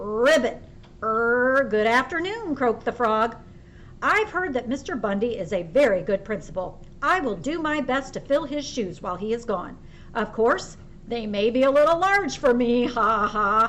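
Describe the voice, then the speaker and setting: A woman puts on a character voice pitched high. Background noise is clearly audible. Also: moderate pace. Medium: read story. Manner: polite, formal.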